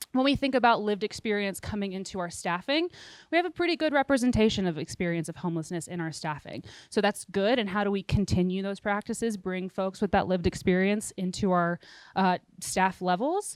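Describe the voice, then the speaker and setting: Lively intonation on a very clean recording with a silent background, dry and close with no echo. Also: woman, medium pitch for a woman, fairly quick pace. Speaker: nonprofit consultant presenting at workshop. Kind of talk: workshop presentation. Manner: fast.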